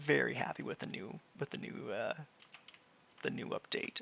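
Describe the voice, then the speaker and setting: A man whispers at a fairly slow pace. The sound is dry and close, with no echo. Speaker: gaming video creator. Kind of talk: gameplay commentary. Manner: casual, halting.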